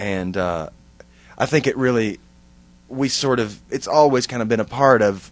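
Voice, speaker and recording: A man with a Texan accent, at a moderate pace and with ordinary pitch variation. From East Texas, near Tyler. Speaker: musician, band singer. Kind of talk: interview. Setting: recording studio.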